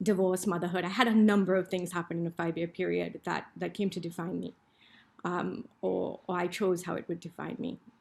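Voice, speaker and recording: The voice moves at a fairly quick pace and shows vocal fry. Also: woman. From Trinidad and Tobago. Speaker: business school professor. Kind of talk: panel presentation. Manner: animated.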